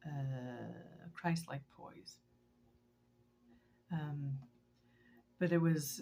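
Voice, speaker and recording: A woman speaks very slowly in a very deep, low pitch, with a dark, mellow tone and a somewhat breathy quality. Her intonation is fairly even, broken by long, frequent pauses. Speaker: vlogger and teacher. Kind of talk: personal video diary. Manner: halting, many fillers.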